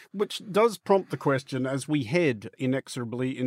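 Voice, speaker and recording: Man with a normal speaking voice at medium pitch, ordinary pitch variation, a fairly quick pace, and a dry, close sound with no echo. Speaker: podcast interviewer. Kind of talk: interview.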